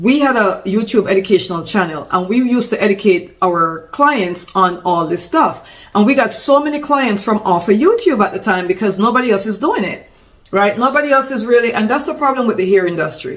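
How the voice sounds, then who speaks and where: A woman talks at a fairly quick pace and a fairly high pitch, her tone animated and her intonation lively. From Jamaica. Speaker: salon business consultant, former hairstylist. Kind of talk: business tutorial. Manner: casual, animated with self-corrections.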